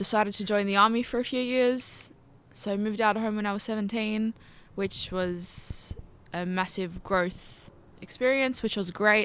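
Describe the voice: A woman speaks at a fairly slow pace with fairly even intonation. Her tone is fairly bright. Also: medium pitch for a woman.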